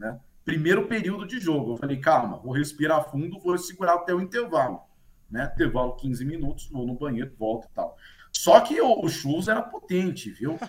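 Pitch swings very widely while the pace stays moderate. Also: man, fairly high pitch for a man. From Marília, interior of São Paulo state, Brazil. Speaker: sports commentator. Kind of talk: casual chat. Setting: video call.

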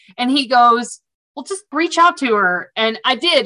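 In a Southern US accent, a woman speaks at a moderate pace with a bright, sharp tone and ordinary pitch variation. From US South. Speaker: supplier diversity practitioner. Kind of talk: casual interview conversation.

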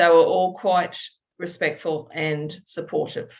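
Speaking at a fairly slow pace, a woman with a very deep, low pitch uses ordinary pitch variation. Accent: Australian. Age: 50s. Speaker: birth mother sharing her story. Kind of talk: testimony interview. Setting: video call. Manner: halting with many fillers.

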